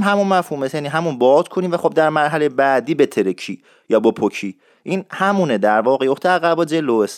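A man with a fairly high pitch, lively intonation and a fairly quick pace, on a very clean recording with a silent background. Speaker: radio show host teaching Isfahani dialect. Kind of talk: tutorial. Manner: fast.

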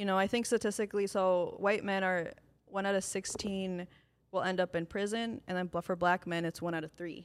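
A woman talks at a fairly quick pace in an unremarkable speaking voice. Her pitch is medium and her intonation fairly even. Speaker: law student. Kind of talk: casual chat.

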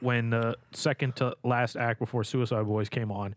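This is a normal speaking voice at a fairly slow pace. The recording is very clean, with a silent background. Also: man. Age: 20s. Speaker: podcast co-host. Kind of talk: casual chat.

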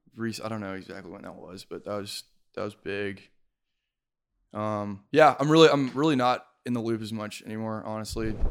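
On a very clean recording with a silent background, a man speaks at a fairly quick pace. His loudness swings widely while his pitch varies in an ordinary way. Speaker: former film intern. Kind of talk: casual chat. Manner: trails off away from mic.

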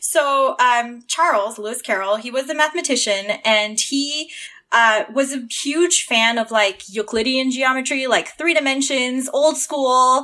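A woman with a Canadian accent speaks in a high, bright, sharp voice, raised and projected, with an animated tone. Her pace is fairly slow, and the recording is very clean with a silent background. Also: ordinary pitch variation. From Southern Ontario, Canada. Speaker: engineer and fan artist. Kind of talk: casual chat.

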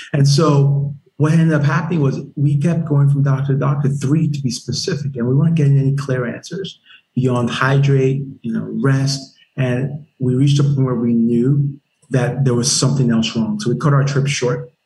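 In an ordinary speaking voice, a man talks at a moderate pace and a fairly high pitch. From Nigeria (Lagos), moved to South Carolina at 10. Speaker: army veteran and startup founder. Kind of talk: interview. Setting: podcast interview.

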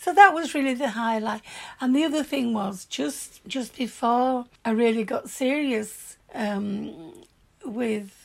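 Her pitch is high and her intonation lively. This woman speaks at a very slow pace. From Yorkshire, northern England. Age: 70s. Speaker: grandmother recalling her youth. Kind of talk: warm, nostalgic life-story reminiscing to her granddaughter. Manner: chatty and animated, spilling into excited asides; plainspoken and forthright, with earthy swearing.

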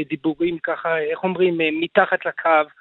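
Pitched high, a man speaks at a moderate pace. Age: 40s. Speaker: protest organizer, business owner. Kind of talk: radio interview.

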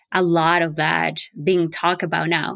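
A woman with a non-native accent speaks at a fairly slow pace on a very clean recording with a silent background. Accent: foreign-accented English. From outside the US. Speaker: early education advocate. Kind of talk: interview.

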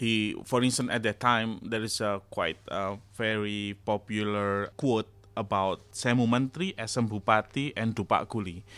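In an Indonesian accent, a man with a fairly low pitch speaks at a moderate pace with fairly even intonation and hardly any pauses, on a very clean recording with a silent background. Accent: Javanese-accented English. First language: Javanese. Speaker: academic. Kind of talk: interview discussion. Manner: halting.

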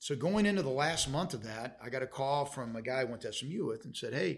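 A man talks at a fast pace with lively intonation. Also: medium pitch for a man.

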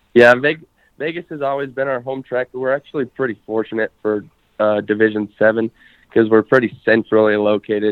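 An ordinary speaking voice from a man with an American accent, medium in pitch, fairly quick, with fairly even intonation. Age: 20s. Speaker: drag racer. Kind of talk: casual chat.

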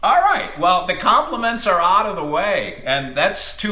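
Moderate pace over noticeable background noise. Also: man. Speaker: podcast co-host and hockey play-by-play announcer. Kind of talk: casual banter podcast. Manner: animated, joking.

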